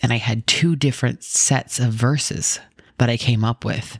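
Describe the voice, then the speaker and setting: Soft-spoken and very deep, low in pitch, a woman talks at a fairly slow pace with ordinary pitch variation in a dry, close sound with no echo. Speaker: podcast host. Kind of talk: scripted Bible podcast intro and casual chat. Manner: soft-spoken, talking quietly.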